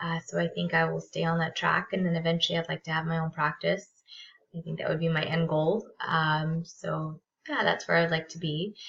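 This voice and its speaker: A woman speaks with a Californian accent. Her pace is fairly quick. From Southern California. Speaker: graduate counseling student. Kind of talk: self-introduction video. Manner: halting, many fillers.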